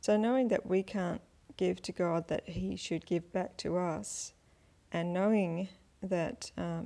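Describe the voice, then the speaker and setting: A woman talks at a very slow pace on a very clean recording with a silent background. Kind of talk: informal Bible teaching. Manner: halting, with fillers.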